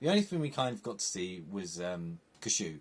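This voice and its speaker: With very wide swings in pitch, a man talks in an English accent. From England. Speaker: film and TV reviewer. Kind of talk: casual review monologue.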